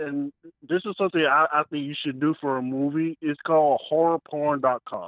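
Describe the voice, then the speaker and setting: A man talks at a moderate pace in an ordinary speaking voice, his pitch fairly high. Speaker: caller. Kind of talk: casual chat. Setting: phone call.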